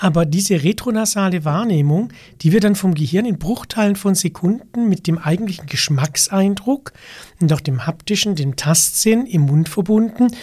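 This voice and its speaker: His pitch high and his tone dark and mellow, a man speaks at a moderate pace with ordinary pitch variation. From south-western Germany, Baden (Weil am Rhein). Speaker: sommelier and wine expert. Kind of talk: interview conversation.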